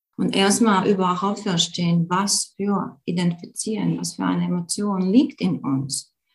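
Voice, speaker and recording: A woman with a Latvian accent speaks fairly slowly at a medium pitch, with hardly any pauses. Her voice has vocal fry and ordinary pitch variation. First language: Latvian (speaking German). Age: young. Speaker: yoga teacher and emotion coach. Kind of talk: online live talk with Q&A. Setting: live video call. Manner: calm, gentle.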